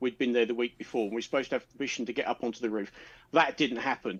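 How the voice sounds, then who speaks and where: The background is quiet. The speaker has a southern English accent. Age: 50s. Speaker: panel regular on a live chat stream. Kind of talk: casual chat.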